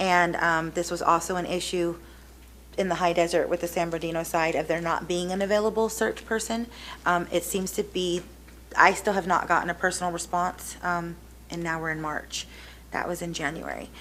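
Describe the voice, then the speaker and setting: Audible room echo surrounds the voice. Delivery is fairly quick, with a monotone, flat intonation. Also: woman, fairly low pitch for a woman. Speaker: public commenter. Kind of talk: public comment at city council meeting. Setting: city council chamber. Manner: loud; hesitant, many fillers.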